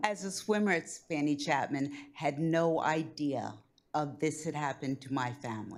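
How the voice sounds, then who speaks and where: A woman with an American accent speaks at a fairly slow pace. Her pitch is very deep and low, with ordinary pitch variation. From Doylestown area, Pennsylvania, US. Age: 70s. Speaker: local human relations commission member. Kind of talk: personal testimony at public presentation.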